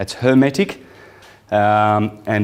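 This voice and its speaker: A man speaks with an Italian accent. His pitch varies in an ordinary way. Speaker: esoteric lecturer. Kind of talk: lecture. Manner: halting, many fillers.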